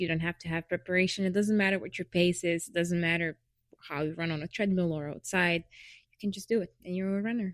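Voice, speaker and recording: A woman with a Lithuanian accent speaks at a fairly low pitch with ordinary pitch variation. The very clean recording has a silent background and a dry, close sound with no echo. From Lithuania, Vilnius. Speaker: podcast co-host. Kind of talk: casual chat.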